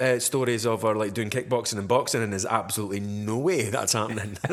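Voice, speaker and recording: Speaking at a medium pitch, a man goes at a very fast pace. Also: hardly any pauses. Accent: Dundee. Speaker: podcast host. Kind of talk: casual chat.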